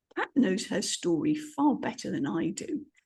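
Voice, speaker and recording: Woman's dark, mellow tone with vocal fry, very wide pitch swings and a fairly slow pace. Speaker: podcast host. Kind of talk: podcast intro.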